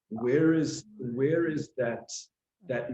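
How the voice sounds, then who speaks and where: Dark, mellow tone in a man's somewhat breathy voice. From South Africa. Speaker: sales and business development professional. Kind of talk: casual chat.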